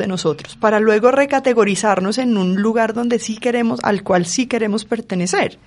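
This woman has a plain, everyday voice, pitched fairly high, with ordinary pitch variation at a moderate pace. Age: 40s. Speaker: forensic psychologist. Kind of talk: panel discussion.

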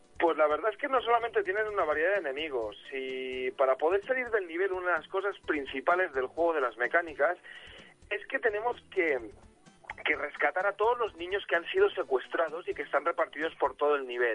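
Over music in the background, a man talks at a fairly quick pace with a high pitch and lively intonation. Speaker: youtuber, retro video game commentator. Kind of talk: casual chat. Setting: phone call.

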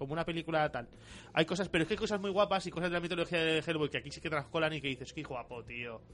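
A man speaks at a very fast pace. His voice sits fairly high in pitch, with lively intonation. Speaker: podcast co-host. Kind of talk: casual chat. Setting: radio studio. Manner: animated.

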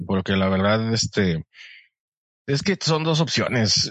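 A man speaks with fairly low pitch and lively intonation. His pace is very slow. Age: 30s. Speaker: podcast guest and voice-over announcer. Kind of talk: casual chat.

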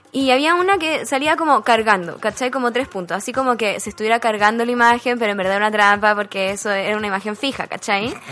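A woman's fairly high voice, ordinary pitch variation, very fast pace and hardly any pauses. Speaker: podcast co-host. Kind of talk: casual chat.

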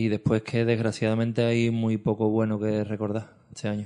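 A man with a dark, mellow tone talks at a medium pitch, his intonation fairly even. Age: 40s. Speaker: podcast co-host, football fan. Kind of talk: casual chat.

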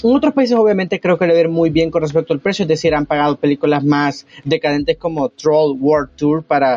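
Very wide pitch swings at a very fast pace. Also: man. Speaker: podcast co-host. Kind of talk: casual chat.

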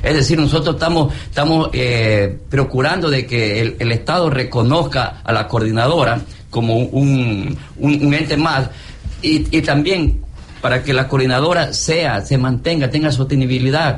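A man with a medium pitch speaks at a fairly slow pace, his loudness very even and his pitch variation ordinary. The room echo is audible and background noise is noticeable. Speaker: cocoa farmer. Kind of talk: radio interview. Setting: live broadcast at a fair. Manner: halting.

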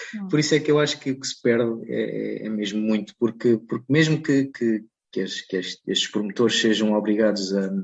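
With hardly any pauses, a man talks at a moderate pace, his medium pitch showing ordinary pitch variation. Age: 30s. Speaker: bird illustrator and environmental consultant. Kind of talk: interview. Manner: halting, with frequent repetitions and fillers.

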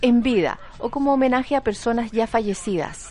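In an animated tone, a woman talks at a high pitch and fairly quick pace with ordinary pitch variation. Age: 40s. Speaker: radio host. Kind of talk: casual chat.

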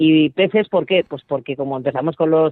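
This woman's pitch is very deep and low. She speaks at a moderate pace. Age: 50s. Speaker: entrepreneur and mother of twelve. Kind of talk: interview.

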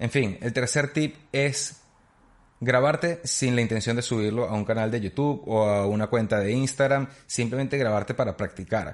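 A man speaks with a medium pitch and ordinary pitch variation. His pace is moderate and his loudness very even. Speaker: podcaster and YouTuber. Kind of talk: solo tutorial monologue. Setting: home studio on camera.

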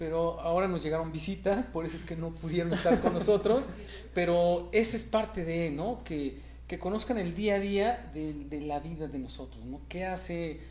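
A man talks at a moderate pace with a Mexican accent. Audible room echo and noticeable background noise fill the recording. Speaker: race organizer. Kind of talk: interview.

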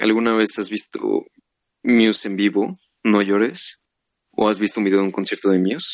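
With a Mexican accent, a man speaks at a moderate pace in a fairly low pitch and fairly even intonation, taking long, frequent pauses. The sound is dry and close with no echo. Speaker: podcast co-host. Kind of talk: casual chat.

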